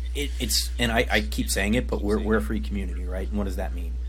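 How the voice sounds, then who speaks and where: Music plays in the background. A man with a very deep, low pitch speaks at a very fast pace. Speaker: podcast host. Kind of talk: casual chat.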